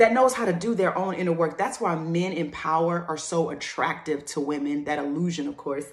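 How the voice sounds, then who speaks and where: Fairly quick pace with hardly any pauses, ordinary pitch variation and noticeable background noise. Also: woman. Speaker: motivational speaker and musician. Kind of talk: video monologue. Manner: fast.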